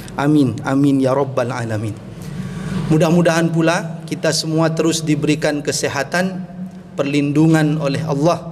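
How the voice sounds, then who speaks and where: Audible room echo and noticeable background noise accompany a man with a fairly high voice. His intonation is fairly even and his pace moderate. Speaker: Islamic preacher. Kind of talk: sermon.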